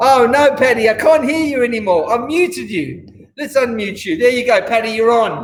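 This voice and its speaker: With an Australian accent, a man talks at a moderate pace with hardly any pauses, an extremely high pitch and ordinary pitch variation. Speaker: restaurant owner and host. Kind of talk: casual interview.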